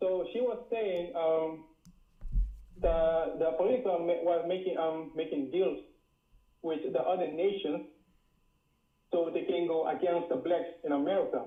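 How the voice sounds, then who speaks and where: With a strong Caribbean accent, a man speaks at a fairly slow pace in a high voice, using ordinary pitch variation and very even loudness, leaving long, frequent pauses amid audible room echo. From Dutch Caribbean island. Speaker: caller. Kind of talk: casual chat. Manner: halting, many fillers and repeats.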